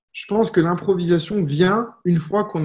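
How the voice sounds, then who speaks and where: A man's high-pitched voice at a fairly slow pace over a quiet background. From France, Lyon. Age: 30s. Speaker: network marketing coach. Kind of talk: live stream talk. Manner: casual, conversational.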